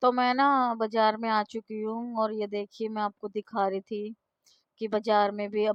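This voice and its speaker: Speaking at a fairly slow pace, a woman uses a fairly high pitch with monotone, flat intonation. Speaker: vlogger. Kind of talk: casual vlog. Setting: outdoors at market.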